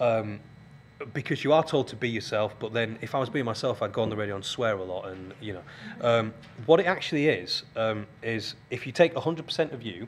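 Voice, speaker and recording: With a medium pitch and ordinary pitch movement, a man speaks fairly quickly. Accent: strong Yorkshire. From northern England, Keighley, West Yorkshire. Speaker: radio presenter and TV scriptwriter. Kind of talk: guest lecture. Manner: hesitant, many ums.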